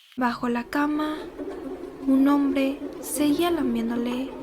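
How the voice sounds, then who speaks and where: Against noticeable background noise, a woman with a high pitch talks at a very slow pace with ordinary pitch variation. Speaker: ASMR creator. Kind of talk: horror story narration for ASMR. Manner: soft-spoken, slow.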